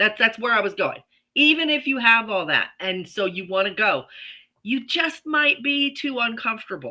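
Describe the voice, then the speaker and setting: A woman speaks at a moderate pace in a plain, everyday voice, fairly high in pitch with lively intonation. The recording is very clean, with a silent background. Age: 60s. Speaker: podcast co-host. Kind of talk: casual chat. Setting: livestream video.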